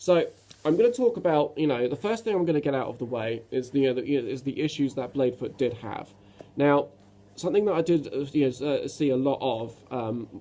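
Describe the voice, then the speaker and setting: A man with a British accent speaks at a fairly quick pace with lively intonation. His voice is fairly high in pitch, with a dark, mellow tone. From Britain. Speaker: self-published author. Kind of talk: casual talk to camera. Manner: halting, many fillers and restarts.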